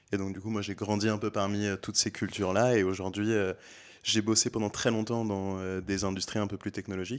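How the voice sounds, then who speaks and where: In a very clean recording with a silent background, a man speaks at a fairly quick pace with a fairly low pitch and flat, monotone intonation. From France, Beaujolais (Villefranche). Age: 20s. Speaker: aspiring restaurant owner. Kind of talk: casual interview. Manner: hesitant, many fillers.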